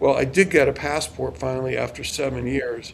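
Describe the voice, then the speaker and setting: A man uses a normal speaking voice at medium pitch, talking at a moderate pace with fairly even intonation. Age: 60s. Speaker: lawyer. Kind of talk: interview.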